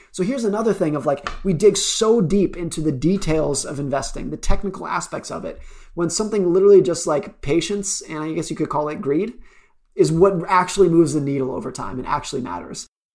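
A man with an American accent and a high pitch talks at a very fast pace, with ordinary pitch variation. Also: big swings in loudness. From US West, Lake Tahoe area. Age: 30s. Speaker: investment writer. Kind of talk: interview conversation. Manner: careful word choice to avoid stuttering.

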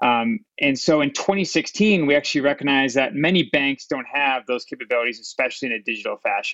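Fairly quick and fairly high-pitched, a man talks in an ordinary speaking voice with ordinary pitch variation. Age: 30s. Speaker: fintech CEO. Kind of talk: interview.

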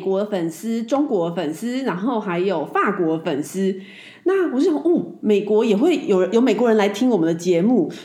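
Her tone dark and mellow, a woman speaks with very wide pitch swings. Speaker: podcast host. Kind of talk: casual chat.

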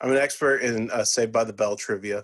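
Against a quiet background, the speaker talks at a fairly quick pace in a Texan accent. The intonation is monotone and flat. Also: man. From Texas, Irving (Dallas area). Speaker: college sports reporter. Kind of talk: casual interview.

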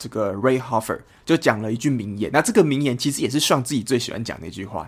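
A man talks very fast at a medium pitch, with ordinary pitch variation. His loudness swings a lot in a very clean recording with a silent background. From Taiwan, Kaohsiung. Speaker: football podcast co-host. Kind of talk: casual chat.

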